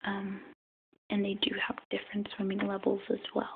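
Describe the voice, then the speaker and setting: The speaker is soft-spoken, with a soothing tone. The pace is fairly slow. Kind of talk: tutorial on setting up a freshwater tank. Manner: soft-spoken, relaxing; whispery, soothing.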